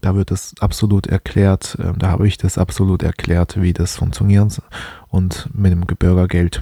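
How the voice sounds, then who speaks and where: A man speaks at a very deep, low pitch in a dark, mellow tone that is somewhat breathy. His pace is fairly slow and his intonation fairly even. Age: 20s. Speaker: finance podcaster. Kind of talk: solo podcast monologue. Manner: hesitant, many filler sounds.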